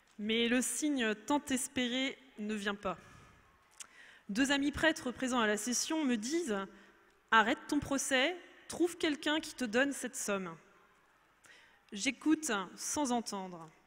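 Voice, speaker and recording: A woman with a high pitch speaks at a very slow pace, leaving long, frequent pauses. Her intonation is lively, and her loudness swings widely. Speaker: testimony speaker, mother. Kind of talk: testimony.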